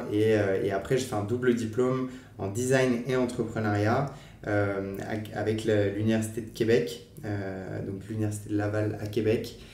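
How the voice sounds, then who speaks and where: Over noticeable background noise and audible room echo, a man talks at a fairly slow pace in a fairly low pitch with fairly even intonation. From western France, Angers. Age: 20s. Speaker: nonprofit training manager. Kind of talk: podcast interview. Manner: hesitant, many fillers.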